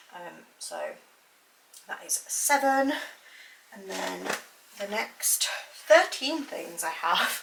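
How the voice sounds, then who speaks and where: Speaking very slowly with a British accent, a woman leaves long, frequent pauses while her loudness swings widely over noticeable background noise. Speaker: lifestyle vlogger, mother. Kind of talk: casual vlog talk to camera. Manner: casual, filler-heavy.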